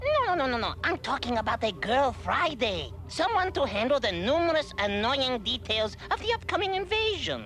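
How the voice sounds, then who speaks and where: A cartoonish character voice runs at a moderate pace with hardly any pauses. Clear music plays in the background. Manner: imperious, impatient.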